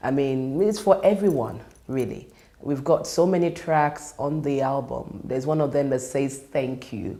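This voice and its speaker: In a room with audible echo, a woman with a Nigerian accent speaks in a very deep, low pitch with lively intonation. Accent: Nigerian (Yoruba) English. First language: Yoruba. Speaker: worship leader. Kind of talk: monologue interview.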